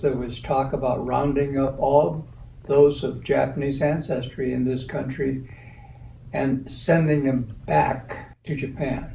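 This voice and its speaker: In a room with audible echo, a man with an American accent talks very slowly at medium pitch with fairly even intonation. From US West Coast, Watsonville, California. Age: 80s+. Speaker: community elder sharing life history. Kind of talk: interview.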